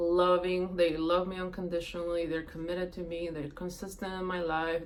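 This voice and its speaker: A woman's fairly low voice at a fairly quick pace, with audible room echo and noticeable background noise. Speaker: manifesting coach. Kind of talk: casual vlog advice talk. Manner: animated, conversational.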